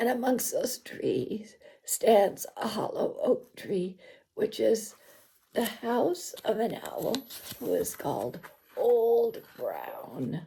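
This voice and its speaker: The speaker uses a put-on character voice that sounds raspy. The delivery comes at a very slow pace. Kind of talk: bedtime story. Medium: read story. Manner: warm, gentle, with asides.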